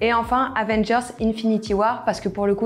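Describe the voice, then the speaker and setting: Noticeable background noise surrounds a woman's voice. She keeps a moderate pace with fairly even intonation. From Paris, France. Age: 20s. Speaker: video producer and co-founder. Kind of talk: self-introduction video.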